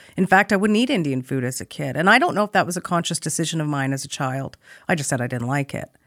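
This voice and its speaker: A woman talks at a very fast pace with a Canadian accent. Her pitch is very deep and low, and her intonation is lively. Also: dry, close sound with no echo, very clean recording, silent background. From Canadian prairies, Saskatoon. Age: 40s. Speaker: radio broadcaster and journalist. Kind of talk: interview conversation. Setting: studio.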